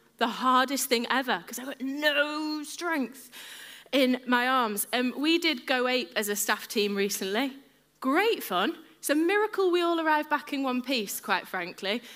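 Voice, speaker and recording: With an English accent, a woman speaks at a fairly slow pace in a high, bright, sharp tone that is animated, with lively intonation. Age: 30s. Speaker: preacher. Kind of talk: sermon.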